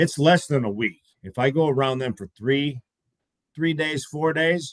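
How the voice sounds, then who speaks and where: In an American accent, a man talks at a fairly slow pace and fairly high pitch, with ordinary pitch variation and a dry, close sound with no echo. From US Midwest (Iowa/Minnesota). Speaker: podcast co-host. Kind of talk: casual chat.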